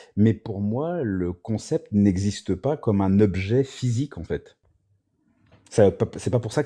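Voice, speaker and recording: A man with a dark, mellow tone talks at a fairly slow pace and ordinary pitch variation on a very clean recording with a silent background. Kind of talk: philosophical discussion on a livestream. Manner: hesitant, many fillers.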